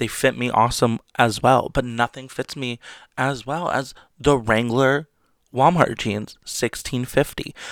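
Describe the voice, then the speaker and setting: A man with a medium pitch talks at a fairly slow pace in an animated tone, on a very clean recording with a silent background and a dry, close sound with no echo. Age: 20s. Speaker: solo podcast host. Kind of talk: casual solo monologue. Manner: animated, chatty.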